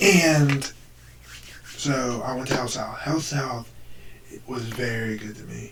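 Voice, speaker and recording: Over noticeable background noise, someone speaks very slowly, pausing long and often. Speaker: YouTuber. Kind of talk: storytelling. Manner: halting.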